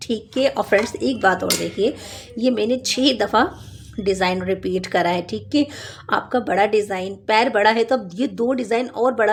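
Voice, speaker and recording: The voice carries vocal fry. Its pitch variation is ordinary. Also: woman. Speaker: knitting instructor. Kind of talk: tutorial.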